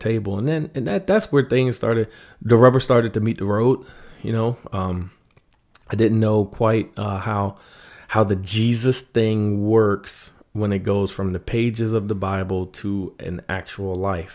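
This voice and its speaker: In a plain, everyday voice with an American accent, the speaker keeps a moderate pace and fairly even intonation on a very clean recording with a silent background. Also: man, fairly low pitch for a man. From US, Washington D.C. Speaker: artist and prison ministry volunteer. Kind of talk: casual interview.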